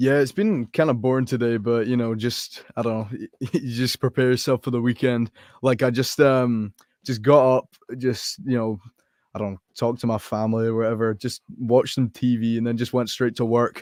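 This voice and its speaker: Speaking at a moderate pace, a man with an American accent uses a medium pitch and fairly even intonation. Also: dry, close sound with no echo. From Scotland. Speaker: rapper. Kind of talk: casual chat. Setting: live online podcast call.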